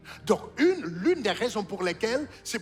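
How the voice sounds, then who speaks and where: A high-pitched man at a moderate pace, his pitch swinging very widely, with noticeable background noise. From Haiti. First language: Haitian Creole (speaking French). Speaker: pastor. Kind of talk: sermon. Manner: repetitive, halting restarts.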